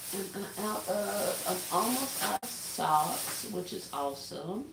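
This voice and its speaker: A woman's very slow speech with lively intonation, audible room echo and noticeable background noise. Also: medium pitch for a woman. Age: 40s. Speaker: livestreamer. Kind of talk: casual chat. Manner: soft-spoken.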